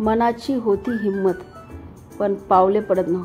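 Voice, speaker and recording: Over music in the background, a woman with a fairly high pitch talks with fairly even intonation. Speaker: voice actor. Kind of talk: romantic first-person story reading. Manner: emotive.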